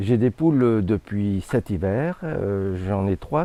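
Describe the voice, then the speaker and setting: This man's voice is fairly low in pitch, with a dark, mellow tone and ordinary pitch variation. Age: 60s. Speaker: hobby chicken keeper. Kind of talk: interview testimony. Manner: hesitant, many fillers.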